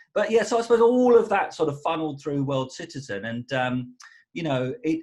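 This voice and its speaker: With an Essex accent, a man talks at a fairly quick pace, his fairly high pitch swinging very widely. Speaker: musician. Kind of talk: casual interview chat. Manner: halting, many repetitions.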